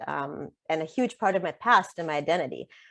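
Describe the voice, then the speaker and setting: The speaker has a Russian accent and a fairly quick pace. The background is quiet. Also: woman. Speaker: author. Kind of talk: interview conversation. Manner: frequent filler ums.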